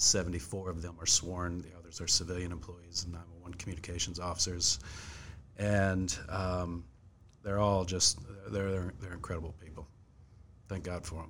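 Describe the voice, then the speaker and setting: With audible room echo, a man in an American accent speaks at a moderate pace with a very deep, low pitch and monotone, flat intonation, his loudness swinging a lot and his pauses long and frequent. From Fredericksburg, Virginia, US. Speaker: police chief. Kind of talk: interview.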